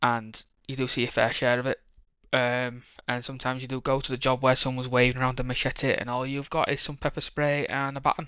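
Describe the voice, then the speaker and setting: Speaking very fast in a British accent, a man keeps a medium pitch and a monotone, flat intonation. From northern England, Leeds, Yorkshire. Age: 30s. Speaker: police officer. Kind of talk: casual chat.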